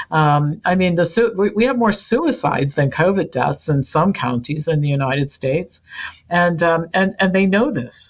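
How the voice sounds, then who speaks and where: Speaking with an American accent, a woman has a fairly low pitch. Her voice is somewhat breathy and moves at a moderate pace. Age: 60s. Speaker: health educator and company founder. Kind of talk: podcast interview. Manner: animated.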